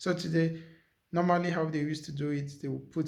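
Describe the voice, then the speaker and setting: A somewhat breathy man talks with fairly even intonation, and room echo can be heard. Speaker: vlogger. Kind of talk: casual cooking vlog.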